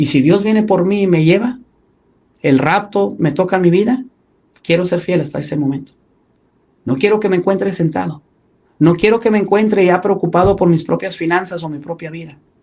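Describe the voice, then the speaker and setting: A man's high-pitched voice with ordinary pitch variation and long, frequent pauses. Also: moderate pace. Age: 40s. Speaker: pastor. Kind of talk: sermon.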